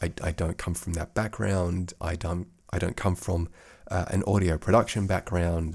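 Somewhat breathy speech at a moderate pace, with monotone, flat intonation, is captured in a very clean recording with a silent background. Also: man, very deep, low pitch for a man. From Australia. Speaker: podcast host and course creator. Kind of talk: casual solo podcast chat. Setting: home office studio. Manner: meandering, relaxed.

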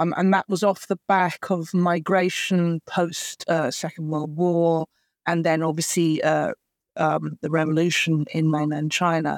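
A woman with a British accent at a fairly low pitch and fairly slow pace, in a monotone, flat intonation, on a very clean recording with a silent background and a dry, close sound with no echo. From England. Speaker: actor and writer, adoptee advocate. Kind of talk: interview conversation. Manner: hesitant, many fillers.

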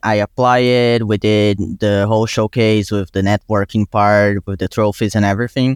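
A man with a Brazilian accent speaks at a moderate pace and a fairly low pitch in a monotone, flat intonation. The recording is very clean, with a silent background. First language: Portuguese. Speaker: college student and intern. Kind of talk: casual interview conversation.

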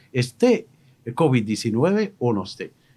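On a very clean recording with a silent background, a man is heard. His pitch swings very widely. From Morocco. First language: Moroccan Arabic (speaking Spanish). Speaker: radio host. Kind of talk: radio interview. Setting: studio. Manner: halting.

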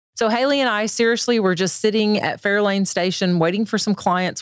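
A woman speaks with an ordinary speaking voice. Her pace is moderate, with ordinary pitch variation. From Northwest Arkansas / Northeast Oklahoma. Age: 50s. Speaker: business consultant. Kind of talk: interview. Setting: studio.

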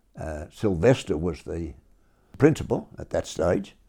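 A man with an Australian accent, very deep and low in pitch, dark and mellow in tone, with vocal fry and a fairly slow pace. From Melbourne, Australia. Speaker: war veteran and school parent. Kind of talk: oral history interview. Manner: halting.

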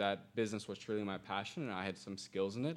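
The speaker goes at a very fast pace with ordinary pitch variation, in a very clean recording with a silent background. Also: man. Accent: Midwestern American. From Indiana, US Midwest. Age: 20s. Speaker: digital marketer and entrepreneur. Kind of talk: podcast interview. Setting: studio.

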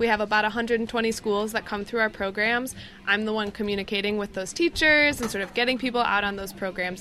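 Music plays in the background as a woman with an American accent speaks fairly quickly at a fairly high pitch. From northern Michigan. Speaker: education program coordinator. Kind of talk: casual interview. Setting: outdoors on a sailing ship.

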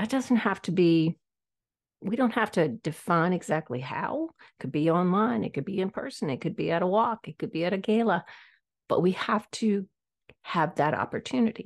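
Over a quiet background, a woman with an American accent speaks in a normal speaking voice at a medium pitch. Her lively intonation comes through with a dry, close sound and no echo. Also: moderate pace. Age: 60s. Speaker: podcast host. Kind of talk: solo podcast monologue. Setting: audio-only recording, camera off.

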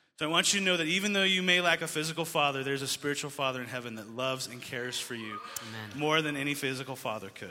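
Fairly quick speech from a man with an American accent and a fairly high pitch, ordinary pitch variation, and noticeable background noise. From Colorado, US. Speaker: ministry conference organizer and school dean. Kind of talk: speech to youth audience.

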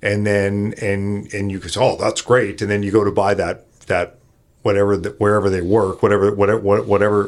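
A normal speaking voice from a man with a Canadian accent, fairly low pitch and fairly quick pace, on a very clean recording with a silent background. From Canada, Kelowna, British Columbia. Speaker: benefits company founder. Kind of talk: casual chat.

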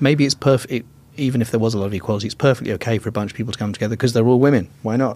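A man with an English accent talks at a very fast pace and a medium pitch. His tone is dark and mellow, and his intonation is fairly even. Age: 50s. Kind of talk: casual interview. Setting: studio.

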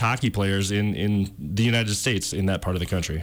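A man with an Upper Midwest accent talks at a moderate pace. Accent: Upper Midwest (Minnesota). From Twin Cities, Minnesota. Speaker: film producer. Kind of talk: interview. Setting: studio.

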